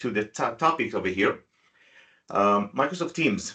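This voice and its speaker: A man's fairly low voice carries a bright, sharp tone. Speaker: IT company owner presenting webinar. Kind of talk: tutorial webinar. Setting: video call webinar with screen sharing. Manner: fast.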